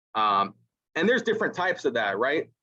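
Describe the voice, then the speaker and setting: Loud and at a moderate pace, the voice has a bright, sharp tone. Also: man. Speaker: Air Force NCO instructor at ROTC detachment. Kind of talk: casual panel discussion. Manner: confident, vocal.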